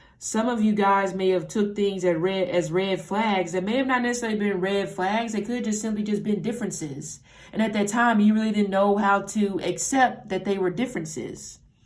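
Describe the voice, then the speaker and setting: With noticeable background noise behind her, a woman of medium pitch talks at a fairly quick pace, with fairly even intonation and hardly any pauses. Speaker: tarot reader. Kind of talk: tarot reading monologue. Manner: casual, halting with self-corrections.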